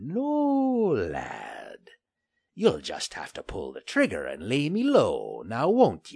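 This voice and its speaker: A man puts on a character voice and speaks at a very slow pace. His loudness swings widely over a quiet background. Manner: defiant, sneering, taunting.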